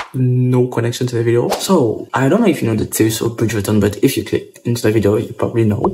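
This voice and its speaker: A man speaks quietly at a fairly quick pace. There is noticeable background noise. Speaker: YouTuber reviewing a TV show. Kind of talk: casual vlog chat. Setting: at home. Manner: talking quietly.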